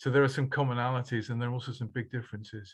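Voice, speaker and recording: Over a quiet background, a man speaks with a medium pitch and a monotone, flat intonation, his voice somewhat breathy. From Norfolk, eastern England. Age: 60s. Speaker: workshop participant. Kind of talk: panel discussion. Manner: halting.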